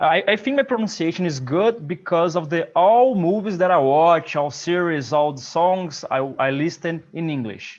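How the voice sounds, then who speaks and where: With a Portuguese accent, a man speaks at a fairly slow pace in a fairly high pitch. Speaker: English learner. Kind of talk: casual group chat.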